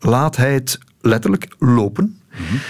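A man talks at a very slow pace. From Belgium, Lokeren (East Flanders). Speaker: political journalist. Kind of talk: casual interview. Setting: radio studio.

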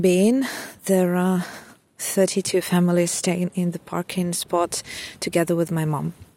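In a Ukrainian accent, a woman speaks at a medium pitch with a dark, mellow tone and monotone, flat intonation. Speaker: refugee mother. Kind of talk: personal testimony. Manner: hesitant, many fillers.

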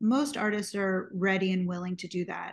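In an American accent, a woman speaks somewhat breathily with fairly even intonation over a quiet background. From US, New York City. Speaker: singer, songwriter and music producer. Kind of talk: interview conversation.

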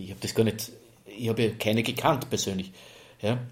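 Somewhat breathy, a man talks fairly quickly at a medium pitch with fairly even intonation. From Lower Austria (Neunkirchen). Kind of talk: interview.

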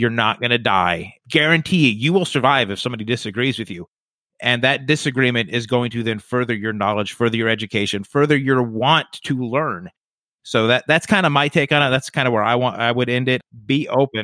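A plain, everyday voice from a man at a fairly quick pace with ordinary pitch variation. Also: medium pitch for a man. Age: 30s. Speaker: podcast host. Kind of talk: casual chat.

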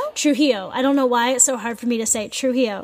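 Noticeable background noise fills the recording. Over it, a woman talks at a fairly quick pace with fairly even intonation. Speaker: podcast co-host. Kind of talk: casual podcast chat. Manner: quieter than usual, can't speak full volume; halting, many fillers.

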